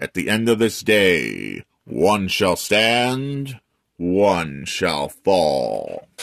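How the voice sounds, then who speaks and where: Very slowly, a man delivers his lines. He's doing a put-on character voice pitched fairly low. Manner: solemn, dramatic.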